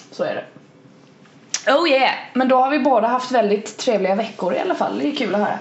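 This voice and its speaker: Speech comes at a fairly quick pace with lively intonation and long, frequent pauses. Audible room echo and noticeable background noise are present. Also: woman, high pitch for a woman. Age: 20s. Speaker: podcast co-host. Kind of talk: casual chat.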